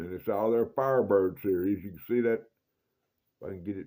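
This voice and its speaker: A man with a Mississippi accent speaks quickly, fairly low in pitch, with a dark, mellow tone and fairly even intonation. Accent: Southern US (Mississippi). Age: 60s. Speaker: knife collector YouTuber. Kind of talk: casual show-and-tell video. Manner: folksy, repetitive.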